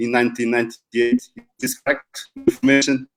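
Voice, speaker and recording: A man speaks with a Portuguese accent at a medium pitch. His intonation is fairly even. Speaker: football coach and professor. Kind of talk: interview. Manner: slow, deliberate.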